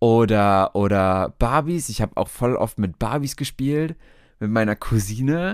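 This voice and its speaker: With a dry, close sound and no echo, a man of medium pitch speaks in an animated tone at a fairly slow pace. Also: lively intonation. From Hesse, Germany (Alsfeld). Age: 20s. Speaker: podcast host and optician. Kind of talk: casual monologue. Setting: home, bedroom at night.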